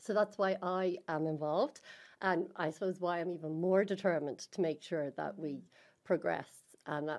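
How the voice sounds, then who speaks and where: A woman with an Irish accent speaks at a moderate pace in a fairly low pitch, her pitch varying in an ordinary way against a quiet background. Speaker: party women's network co-chair. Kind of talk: interview conversation.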